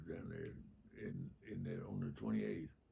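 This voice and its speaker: At a moderate pace, a man speaks in a dark, mellow tone with vocal fry. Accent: Southern US. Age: 80s+. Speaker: war veteran. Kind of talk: interview answer. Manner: humorous, candid.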